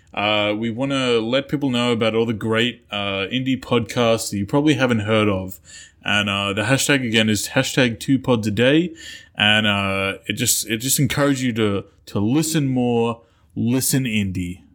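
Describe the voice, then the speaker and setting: Medium-pitched male voice with an Australian accent, moderate pace and ordinary pitch variation. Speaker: podcast co-host. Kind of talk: casual chat.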